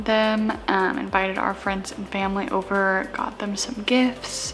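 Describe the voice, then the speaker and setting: Soft-spoken and at a fairly slow pace, a woman of medium pitch talks with music in the background. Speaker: vlogger and foster parent. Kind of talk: casual vlog chat. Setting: at home.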